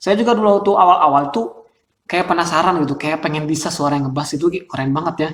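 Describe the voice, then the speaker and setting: The shrill voice moves at a very fast pace with ordinary pitch variation. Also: man, fairly high pitch for a man. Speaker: Quran recitation vocal coach. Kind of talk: tutorial. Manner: casual.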